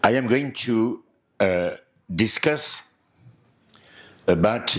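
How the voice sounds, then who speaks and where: A man with a French accent, lively intonation and a very slow pace. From France. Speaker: anthropologist lecturer. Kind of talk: lecture. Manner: hesitant, with filler words.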